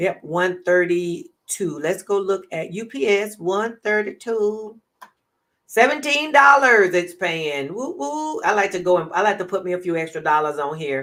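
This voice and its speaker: Using a plain, everyday voice, a woman speaks at a fairly slow pace in a fairly low pitch with lively intonation. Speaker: trading educator. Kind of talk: live stream tutorial. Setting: live stream.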